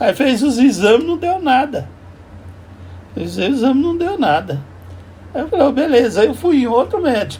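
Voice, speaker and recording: Lively intonation carries this man's extremely high voice. He leaves long, frequent pauses. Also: moderate pace. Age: 70s. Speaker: vlogger. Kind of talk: casual monologue. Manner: halting.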